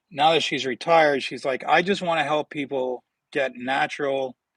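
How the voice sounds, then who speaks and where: With a Northern Ontario accent, a man at a fairly high pitch speaks at a moderate pace with ordinary pitch variation, in a dry, close, very clean recording with no echo and a silent background. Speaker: health vlogger with atrial fibrillation. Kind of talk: casual livestream talk. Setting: outdoors in backyard. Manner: repetitive, stammering restarts. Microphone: new tablet setup.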